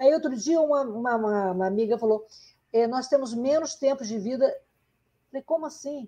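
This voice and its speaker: A woman talks at a moderate pace with long, frequent pauses. Her high pitch carries a dark, mellow tone and ordinary pitch variation. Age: 60s. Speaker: podcast host, journalist. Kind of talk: interview conversation.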